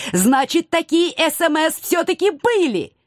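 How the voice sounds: A woman performs a put-on character voice at an extremely high pitch with big pitch swings. The sound is dry and close with no echo. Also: fairly slow pace, very clean recording, silent background.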